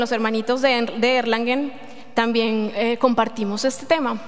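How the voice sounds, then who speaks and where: Speaking in a Colombian accent, a woman has a high pitch and fairly even intonation. Noticeable background noise and audible room echo fill the recording. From Colombia, Medellín. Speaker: lay preacher. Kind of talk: sermon. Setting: church. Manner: halting.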